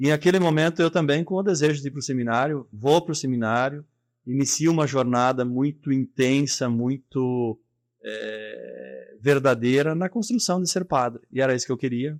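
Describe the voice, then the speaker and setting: A man speaks at a moderate pace with fairly high pitch. His pitch varies in an ordinary way. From southern Brazil, rural. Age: 40s. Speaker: business leader. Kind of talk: interview.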